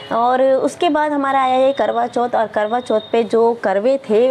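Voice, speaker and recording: A woman's high voice, varying in pitch in an ordinary way, is heard with noticeable noise in the background. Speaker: vlogger. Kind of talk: casual vlog monologue. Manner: hesitant with many fillers.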